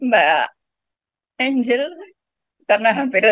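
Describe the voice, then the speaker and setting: Lively intonation and vocal fry mark this woman's fairly high-pitched voice. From Lombok, Indonesia. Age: 70s. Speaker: participant asking a question. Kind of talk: testimony.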